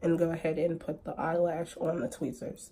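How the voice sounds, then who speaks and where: A somewhat breathy woman at a moderate pace. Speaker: lash brand owner and makeup tutorial creator. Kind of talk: makeup tutorial talk to camera. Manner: casual, chatty.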